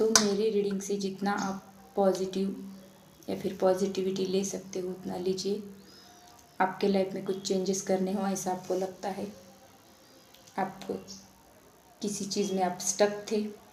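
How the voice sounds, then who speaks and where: Long, frequent pauses break up a woman's monotone, flat delivery at a medium pitch, with audible room echo. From Maharashtra, India. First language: Marathi (speaking Hindi). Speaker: tarot reader. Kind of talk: spiritual talk to viewers.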